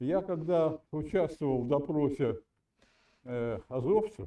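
At a very slow pace, a man speaks with a fairly high pitch, very wide pitch swings and a dark, mellow tone. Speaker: caller. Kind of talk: heated debate. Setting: video call. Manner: halting.

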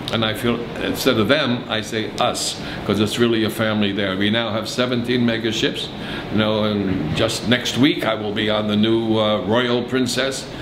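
A man at a moderate pace with fairly even intonation, against noticeable background noise. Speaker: interviewee. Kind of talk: interview answer. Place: office.

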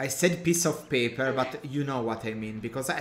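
An Italian accent over noticeable background noise. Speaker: gaming streamer. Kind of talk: casual chat. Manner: halting.

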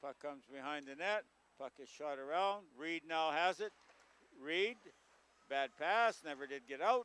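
A man with a Canadian accent talks at a fairly slow pace in a bright, sharp tone with dry sound and no echo. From Canada, Manitoba. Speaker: local hockey play-by-play commentator. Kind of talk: live hockey play-by-play commentary. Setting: local TV broadcast at a rink. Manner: casual, hesitant, self-correcting with frequent uhs. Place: stadium.

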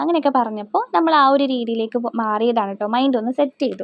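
A woman with a central Kerala accent speaks high in pitch, her pitch varying in an ordinary way. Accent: Thrissur Malayalam. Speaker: family vlogger. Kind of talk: casual vlog talk.

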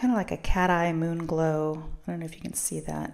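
A woman speaks at a fairly slow pace in a fairly low pitch. The background is quiet. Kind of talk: casual haul vlog narration.

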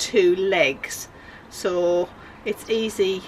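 Over light background noise, a woman talks with fairly even intonation. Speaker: van conversion vlogger. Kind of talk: casual vlog chat. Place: garage. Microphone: phone near.

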